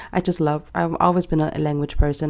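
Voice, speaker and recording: Recorded very cleanly against a silent background, a woman with a German accent speaks in a very deep, low pitch with a dark, mellow tone and fairly even intonation. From Germany. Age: 20s. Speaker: planner vlogger. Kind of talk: casual vlog chat. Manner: casual, many fillers.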